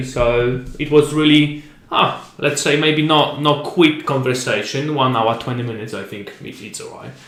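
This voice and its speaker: A fairly high-pitched man with a Polish accent at a fairly slow pace, amid noticeable background noise and audible room echo. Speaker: podcast host. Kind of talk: casual interview. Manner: halting.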